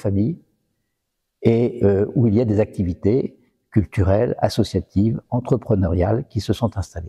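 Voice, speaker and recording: A man's medium-pitched voice, dark and mellow in tone and somewhat breathy, with ordinary pitch variation at a moderate pace in a dry, close sound with no echo. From northern France, Valenciennes. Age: 60s. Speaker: retired business executive. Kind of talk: personal testimony interview. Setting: in a restored chapel. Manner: hesitant, many fillers.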